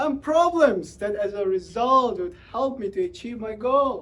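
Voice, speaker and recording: Speaking at a fairly slow pace, a man uses an extremely high pitch with very wide pitch swings. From Uzbekistan. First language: Tajik. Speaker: public speaker. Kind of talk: motivational talk.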